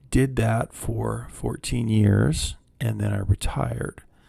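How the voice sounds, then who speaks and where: Soft-spoken and calm in tone, a man talks with a very deep, low pitch and a dark, mellow tone. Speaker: counselor, former military officer. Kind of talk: soft-spoken ASMR talk to camera. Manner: soft-spoken, calm, rambling.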